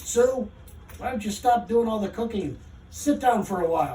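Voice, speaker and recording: A put-on character voice, female-sounding and fairly high in pitch, growls at a moderate pace. Light background noise sits behind it. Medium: read story. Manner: sour, growling, grim.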